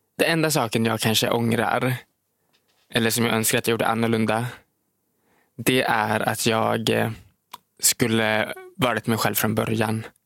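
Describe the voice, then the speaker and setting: A man talks in a flat, monotone intonation at a moderate pace, leaving long, frequent pauses. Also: medium pitch for a man, very even loudness. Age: 20s. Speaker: social media creator and podcast co-host. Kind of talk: casual chat. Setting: studio.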